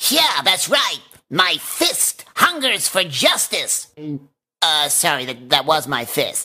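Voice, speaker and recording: Putting on a raspy character voice, a man talks at a fairly slow pace with a high pitch. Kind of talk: cartoon character voice.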